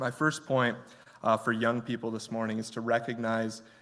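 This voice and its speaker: A man speaks at a moderate pace with an American accent. His intonation is monotone and flat. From Michigan. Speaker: guest preacher. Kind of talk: sermon.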